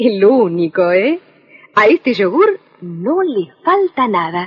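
A woman at a very slow pace with very wide pitch swings, against a quiet background. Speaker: voice actor. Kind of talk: TV commercial read. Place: studio. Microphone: old recording.

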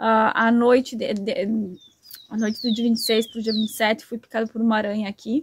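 With light background noise, a woman speaks at a fairly high pitch in a somewhat breathy voice with monotone, flat intonation and a dry sound with no echo. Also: moderate pace. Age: 30s. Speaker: YouTuber. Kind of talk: vlog monologue. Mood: warm, grateful. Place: open country. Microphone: phone near.

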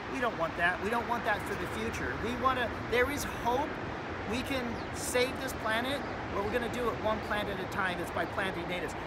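Loud background noise sits under a man speaking at a fairly quick pace. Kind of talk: tutorial. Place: garden. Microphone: phone near.

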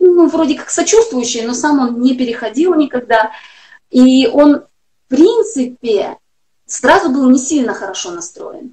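A woman speaks in a high voice against a quiet background. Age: 40s. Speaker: health blogger. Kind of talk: interview. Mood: earnest, personal. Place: home room. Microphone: video call.

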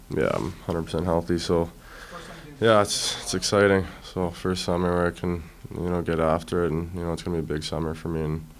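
A man's very deep, low voice, flat and monotone, at a fairly quick pace over light background noise. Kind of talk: interview answer. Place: meeting room. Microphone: podium.

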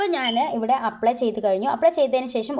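Intonation rises and falls in a lively way in an unremarkable speaking voice. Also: woman. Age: 40s. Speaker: beauty vlogger. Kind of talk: tutorial.

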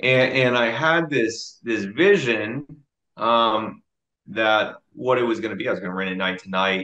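A man with an American accent speaks at a fairly slow pace, using ordinary pitch variation. The background is quiet. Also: medium pitch for a man. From Dallas, Texas. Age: 20s. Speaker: army drill sergeant and real estate investor. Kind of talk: interview answer. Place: home room. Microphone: video call.

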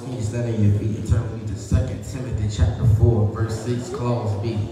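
Strong room echo and noticeable background noise surround a man talking at a moderate pace. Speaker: preacher. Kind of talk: funeral sermon, preaching to a congregation. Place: church. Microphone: camera far.

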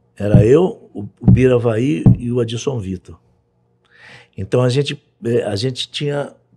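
Against a quiet background, a man talks at a very slow pace with ordinary pitch variation and a dark, mellow, somewhat breathy tone. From Brazil, Rio de Janeiro. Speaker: music producer; podcast guest. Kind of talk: casual interview. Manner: halting, repeats words. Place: studio. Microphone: studio mic.

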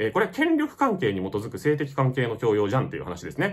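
The speaker races along at a very fast pace with vocal fry and very wide pitch swings. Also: man. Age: 30s. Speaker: YouTube film reviewer. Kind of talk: unscripted monologue commentary. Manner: halting, many fillers.

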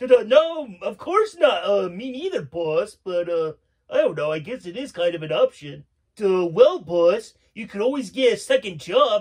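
In a cartoonish character voice, a man speaks high and at a fairly slow pace. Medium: puppet show. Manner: slow, dopey, says 'duh' a lot.

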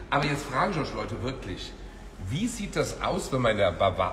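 This is a man speaking. There is light background noise. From Israel. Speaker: nightlife entrepreneur; guest. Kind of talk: casual chat. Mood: playful, joking. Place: kitchen. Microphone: phone near.

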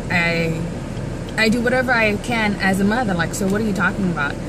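A woman at a moderate pace over noticeable background noise. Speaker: vlogger. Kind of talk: casual vlog chat. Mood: amused, storytelling, mildly exasperated. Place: car. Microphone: phone near.

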